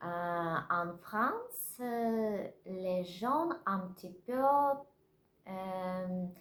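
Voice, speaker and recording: A woman speaks at a medium pitch. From Russia. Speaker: vlogger learning French. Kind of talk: casual vlog. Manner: halting, many hesitations; slow.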